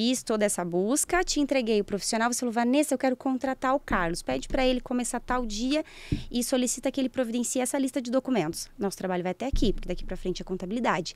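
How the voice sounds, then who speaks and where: Speaking at a very fast pace, a woman uses lively intonation in a high pitch. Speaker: organizational psychologist and HR consultant. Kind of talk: podcast interview. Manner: animated.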